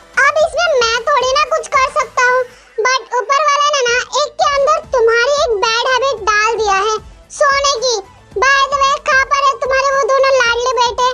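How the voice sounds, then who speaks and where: A woman's put-on character voice over faint music in the background. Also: moderate pace. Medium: audio drama. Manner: dry, teasing.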